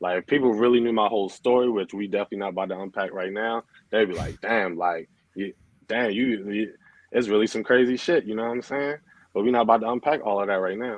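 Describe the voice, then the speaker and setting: Very fast speech from a man with a slight Baltimore accent, a fairly low pitch and ordinary pitch variation. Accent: Baltimore accent, comes out only a little. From Baltimore, Maryland, US. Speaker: DJ and clothing brand owner. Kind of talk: casual interview chat. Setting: live stream.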